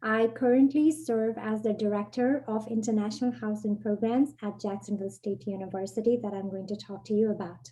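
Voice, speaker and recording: Somewhat breathy and dark, mellow in tone, a woman with a fairly high pitch speaks at a fairly quick pace with fairly even intonation and hardly any pauses. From Nepal. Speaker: university international programs director. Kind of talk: webinar presentation.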